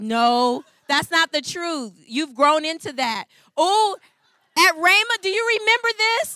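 A woman's extremely high, raised and projected voice with a bright, sharp tone, very wide pitch swings and a fairly slow pace. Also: dry, close sound with no echo. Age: 40s. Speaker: pastor's wife. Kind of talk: sermon.

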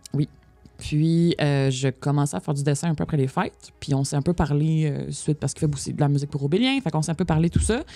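The speech runs at a fairly quick pace with music in the background. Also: woman. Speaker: podcast guest, tabletop gamer. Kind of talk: casual chat.

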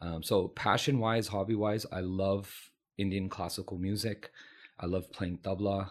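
In a very clean recording with a silent background, a man with a Californian accent talks at a fairly slow pace in a monotone, flat intonation. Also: fairly low pitch for a man. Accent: American (Californian). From California, San Francisco Bay Area. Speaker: physician. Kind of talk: interview conversation.

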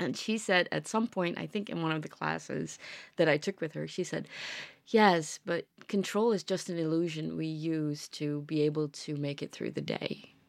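A woman talks at a very deep, low pitch with ordinary pitch variation. The recording is very clean and the background silent. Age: 40s. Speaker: podcast host and yoga teacher. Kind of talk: casual chat.

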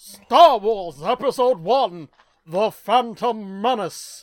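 A female-sounding, put-on character voice speaks at a fairly high pitch. The pace is very slow. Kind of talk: announcer. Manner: dramatic announcer.

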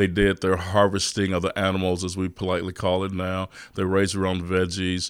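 Very deep, low-pitched man at a fairly quick pace, monotone and flat, in a very clean recording with a silent background. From Texas, East Austin. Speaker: restaurant owner and chef. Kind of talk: interview.

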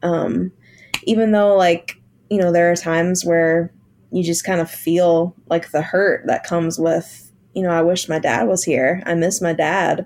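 In an American accent, a woman with an ordinary speaking voice talks at a fairly slow pace, fairly low in pitch, with fairly even intonation and very even loudness. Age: 30s. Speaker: musician. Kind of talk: casual interview chat.

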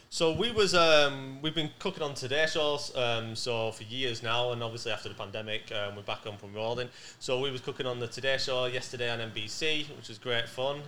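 A man in a Manchester accent talks at a moderate pace and a medium pitch, his loudness swinging a lot. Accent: northern English, Manchester. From Manchester, England. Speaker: podcast guest, TV cook.

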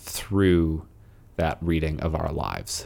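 The tone is calm and the pace is very slow. The recording is very clean, with a silent background. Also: man. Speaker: podcast host. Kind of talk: poem reading aloud, devotional. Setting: podcast recording. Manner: slow, measured, reverent; calm, contemplative.

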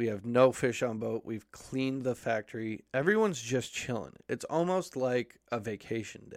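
A man with a normal speaking voice talks at a medium pitch and moderate pace, with lively intonation and hardly any pauses. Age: 30s. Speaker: podcast host. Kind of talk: casual chat.

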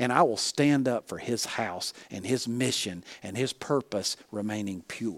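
A man with a Southern US accent speaks at a moderate pace, his voice dry and close with no echo on a very clean recording against a silent background. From US South (Alabama). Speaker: pastor and leadership coach. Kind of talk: sermon.

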